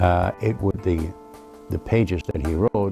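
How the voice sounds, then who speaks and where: Over clear music in the background, a man with a very deep, low pitch speaks with ordinary pitch variation in a dry sound with no echo. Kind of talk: interview answer. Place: home room. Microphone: lapel.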